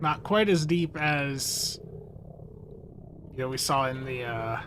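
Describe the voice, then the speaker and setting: In a room with audible echo and noticeable background noise, a man speaks very slowly at a fairly high pitch with ordinary pitch variation. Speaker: gaming streamer. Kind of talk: live stream commentary. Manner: slurred words.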